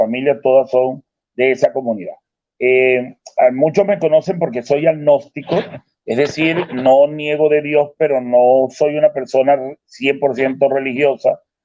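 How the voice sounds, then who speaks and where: Here a man speaks in an ordinary speaking voice at a fairly high pitch. His pace is moderate. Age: 60s. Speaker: retired professor, debater. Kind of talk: online debate.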